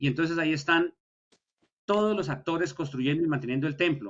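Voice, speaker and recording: This man's delivery is very fast. His intonation moves in a lively way. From Colombia. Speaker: historian, university lecturer. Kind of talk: lecture.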